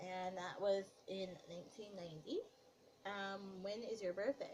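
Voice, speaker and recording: A woman's somewhat breathy voice at a medium pitch, with fairly even intonation and a moderate pace. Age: 20s. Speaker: gaming youtuber. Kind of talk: casual vlog talk. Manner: casual, many fillers.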